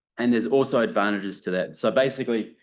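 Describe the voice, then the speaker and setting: Very fast speech with a New Zealand accent over a quiet background. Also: man. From New Zealand, South Island. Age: 40s. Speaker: professor. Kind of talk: lecture.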